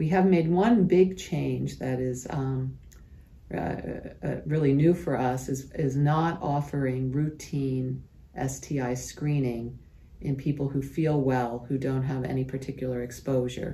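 A woman speaks with a very deep, low pitch and a dark, mellow tone. Her voice is somewhat breathy. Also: ordinary pitch variation, fairly slow pace. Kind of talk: interview answer. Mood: calm, explanatory. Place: office. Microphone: phone near.

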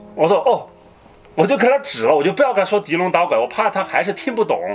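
A man at a fairly quick pace, lively intonation, music in the background. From Sichuan, China. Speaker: co-host. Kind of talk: casual podcast chat. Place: home room.

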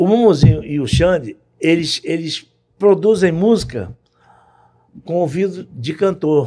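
A man's dark, mellow tone at a high pitch, fairly slow with long, frequent pauses, over a quiet background. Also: lively intonation. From Brazil, Rio de Janeiro. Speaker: music producer; podcast guest. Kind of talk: casual interview. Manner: halting, repeats words. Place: studio. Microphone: studio mic.

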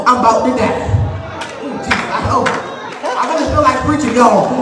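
A man talks with audible room echo. Noticeable background noise is also present. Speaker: preacher. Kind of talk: funeral sermon, preaching to a congregation. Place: church. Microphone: camera far.

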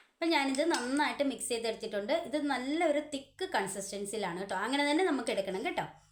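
There is noticeable background noise behind this woman. Her pitch is high and her intonation lively. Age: 40s. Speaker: beauty vlogger. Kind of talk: tutorial.

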